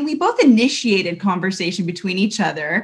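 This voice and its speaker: With an American accent, a woman speaks at a moderate pace in a somewhat breathy voice. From Southern California, Long Beach. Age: 30s. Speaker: women's ministry leader and recruiter. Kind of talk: casual interview devotional.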